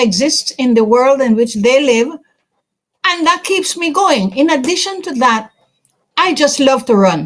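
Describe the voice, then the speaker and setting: High-pitched and lively in intonation, a woman speaks. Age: 80s+. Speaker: sports administrator and award honoree. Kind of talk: interview answer. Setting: virtual ceremony. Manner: halting.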